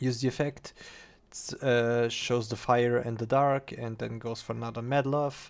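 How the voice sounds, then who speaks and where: Man with a non-native accent, monotone, flat intonation, and a fairly slow pace. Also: medium pitch for a man. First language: not English. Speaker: card game content creator. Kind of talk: gameplay replay commentary. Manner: halting, many fillers.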